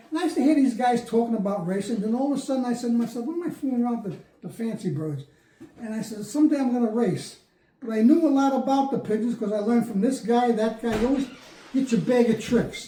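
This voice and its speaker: A man with a New Jersey accent talks at a very fast pace in an extremely high pitch, with ordinary pitch variation. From Bayonne, New Jersey. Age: 80s+. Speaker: pigeon racer, veteran. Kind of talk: interview answer.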